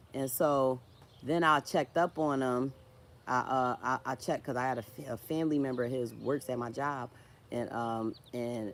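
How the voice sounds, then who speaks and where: With a slight Philadelphia accent, a woman talks at a moderate pace in a very deep, low pitch with fairly even intonation. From Philadelphia, US. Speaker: social media creator, writer. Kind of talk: livestream casual chat. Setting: live stream, tree in background. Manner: halting, repetitive.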